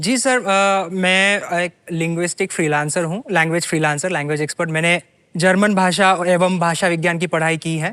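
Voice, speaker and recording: With a Marathi accent, a man talks in a high pitch and a bright, sharp tone, his intonation fairly even and hardly any pauses between words. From Jalgaon, north Maharashtra, India. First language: Marathi (speaking Hindi). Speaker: quiz show contestant, language freelancer. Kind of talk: interview on game show. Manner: hesitant, many fillers.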